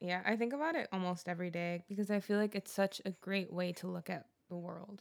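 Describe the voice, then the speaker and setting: A woman with a plain, everyday voice speaks at a fairly quick pace. Her pitch is medium, with ordinary variation. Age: 20s. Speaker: podcast co-host and songwriter. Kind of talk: casual chat.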